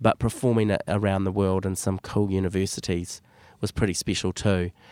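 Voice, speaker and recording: In a very clean recording with a silent background and a dry, close sound with no echo, a man with a New Zealand accent speaks at a moderate pace and a fairly low pitch. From New Zealand, West Auckland. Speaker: drama teacher and theatre director. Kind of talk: casual interview.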